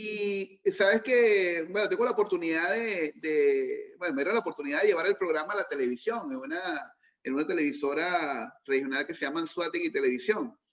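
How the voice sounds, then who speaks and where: A man's high voice at a fairly quick pace with lively intonation and hardly any pauses. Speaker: radio host. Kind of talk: interview; casual chat.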